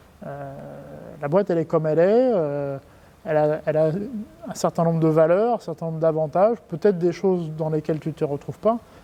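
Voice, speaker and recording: Speaking at a fairly quick pace with long, frequent pauses, a man uses a fairly high pitch with ordinary variation. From France. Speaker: company executive. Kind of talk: interview. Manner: hesitant, many fillers and repetitions; casual.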